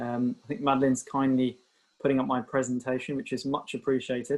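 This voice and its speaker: A British accent marks this man's speech. He talks very fast at a medium pitch. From UK. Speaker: doctor. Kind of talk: webinar presentation. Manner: hesitant, many fillers.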